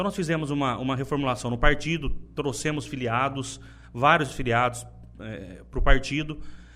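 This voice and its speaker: With a bright, sharp tone and vocal fry, a man speaks at medium pitch with ordinary pitch variation and big swings in loudness. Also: moderate pace. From Brazil, interior of São Paulo state (Buritama). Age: 30s. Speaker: politician, party leader. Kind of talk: interview. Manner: halting, many repetitions.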